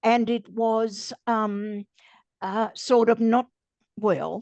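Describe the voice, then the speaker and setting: This Australian-accented woman has a fairly high pitch. Her recording is dry and close with no echo, set against a quiet background. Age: 80s+. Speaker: cancer survivor. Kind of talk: interview answer.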